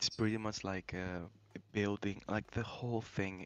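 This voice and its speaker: Using a non-native accent, a man speaks at a fairly low pitch with monotone, flat intonation. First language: not English. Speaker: gamer, guest on stream. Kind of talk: casual chat. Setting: voice call. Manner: halting, many fillers.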